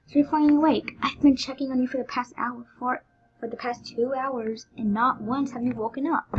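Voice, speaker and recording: A woman's husky, put-on character voice, high in pitch and at a fairly quick pace. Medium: read story. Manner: swings between cheery taunting and sharp demands.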